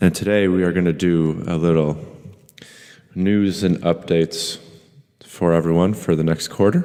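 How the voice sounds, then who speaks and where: A man's very deep, low voice in a dark, mellow tone, monotone and flat, at a moderate pace with very even loudness and long, frequent pauses. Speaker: podcast host, fitness coach. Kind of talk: casual chat.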